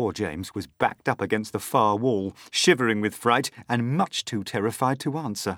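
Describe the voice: The pitch varies in an ordinary way. The text is plain reading aloud.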